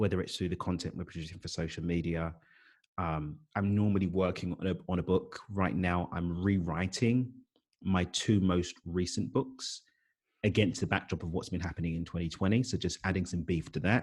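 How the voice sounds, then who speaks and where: A man's very deep, low voice with a London accent, moderate pace, and a quiet background. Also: ordinary pitch variation. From East London, England. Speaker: life coach and author. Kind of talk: podcast interview.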